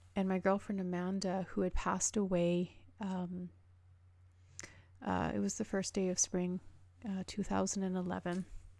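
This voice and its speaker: A woman talks at a moderate pace in a medium-pitched, dark, mellow voice. Her intonation is monotone and flat, with long, frequent pauses. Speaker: radio show host and nurse. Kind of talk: spoken monologue on a radio show. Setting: radio show. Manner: halting, many fillers.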